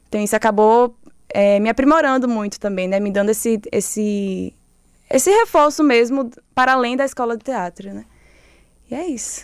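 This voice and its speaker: A woman's fairly high voice at a moderate pace, with ordinary pitch variation, long, frequent pauses and big swings in loudness. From Sergipe countryside, Lagarto (Brazilian Northeast). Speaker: theatre director. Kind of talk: interview. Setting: studio.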